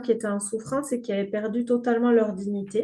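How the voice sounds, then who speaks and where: A woman speaks in a fairly high pitch with a dark, mellow tone. Her intonation stays fairly even. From southern France. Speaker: grief counselor and game creator. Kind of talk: podcast interview. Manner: hesitant, many filler words.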